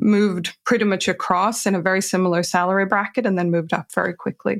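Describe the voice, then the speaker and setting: On a very clean recording with a silent background, a woman with a Swedish accent speaks at a fairly quick pace, her intonation fairly even. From Sweden. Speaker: career transition coach. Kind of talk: interview.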